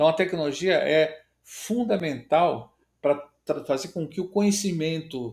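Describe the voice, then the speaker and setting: With an ordinary speaking voice, a man talks at a fairly slow pace, his pitch varying in an ordinary way. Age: 60s. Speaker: agribusiness innovation director. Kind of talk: podcast interview.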